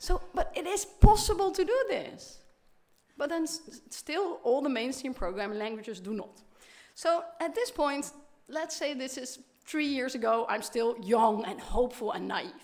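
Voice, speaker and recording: A woman with a non-native accent, high pitch, very wide pitch swings, a moderate pace, and audible room echo. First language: Dutch. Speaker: professor. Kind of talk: keynote lecture. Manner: animated.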